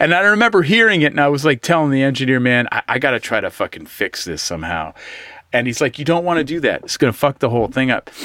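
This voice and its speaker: Very wide pitch swings mark a man's bright, sharp voice, fairly high in pitch and very fast, in a dry, close sound with no echo. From US West Coast, East Bay. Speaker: guitarist. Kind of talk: casual interview chat.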